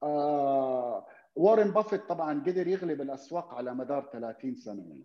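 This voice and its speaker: In a normal speaking voice, a man talks at a fairly slow pace and fairly high pitch, with lively intonation, big swings in loudness, and hardly any pauses. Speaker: investor. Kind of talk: casual interview chat.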